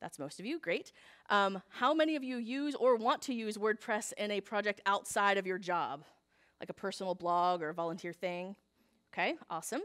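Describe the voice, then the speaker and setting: Talking at a fairly quick pace, a woman at medium pitch makes very wide pitch swings. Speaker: conference speaker, web developer. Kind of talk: conference talk. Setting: stage with audience. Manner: fast.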